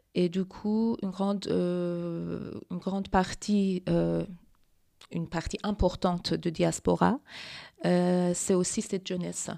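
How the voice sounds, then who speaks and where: A woman's fairly low pitch with a dark, mellow tone and a Persian accent, at a very slow pace with monotone, flat intonation and long, frequent pauses on a very clean recording with a silent background. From Iran. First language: Persian (speaking French). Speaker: feminist activist. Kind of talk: interview. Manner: halting.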